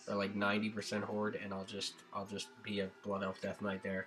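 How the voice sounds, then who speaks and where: With music in the background, a man with a fairly low pitch talks at a fairly quick pace in a monotone, flat intonation. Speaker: gaming YouTuber. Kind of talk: casual vlog monologue. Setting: home recording, music in background. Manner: hesitant, many fillers.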